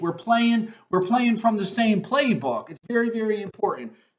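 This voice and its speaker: A loud, animated man's voice, high-pitched, at a moderate pace. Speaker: college professor. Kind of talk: recorded course introduction lecture. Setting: video recording at computer.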